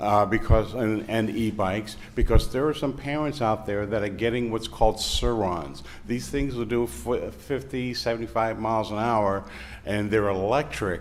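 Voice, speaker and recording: A man at a moderate pace, ordinary pitch variation, audible room echo and noticeable background noise. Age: 60s. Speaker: public commenter at city council meeting. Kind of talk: public comment. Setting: city council meeting room.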